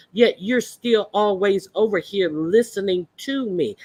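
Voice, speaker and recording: In a very clean recording with a silent background and a dry, close sound with no echo, a woman talks at a medium pitch with ordinary pitch variation. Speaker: streamer reading chat.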